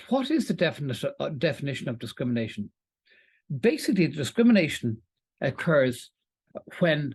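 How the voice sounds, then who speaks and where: Very wide pitch swings mark a man's speech in an Irish accent. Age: 60s. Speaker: employment law presenter. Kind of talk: webinar lecture. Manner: halting, with fillers.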